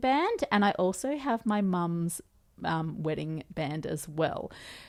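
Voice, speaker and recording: A woman with an Australian accent at a medium pitch, lively intonation and a very slow pace, on a very clean recording with a silent background. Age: 30s. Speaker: podcast host. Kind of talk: casual chat. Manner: animated.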